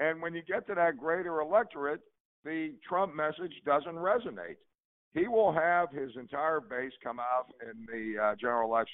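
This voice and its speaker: Speaking with an American accent, a man uses a plain, everyday voice at a fairly high pitch. His intonation is lively and his pace moderate. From Pittsburgh, Pennsylvania. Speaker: political commentator, panelist. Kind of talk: casual political panel discussion.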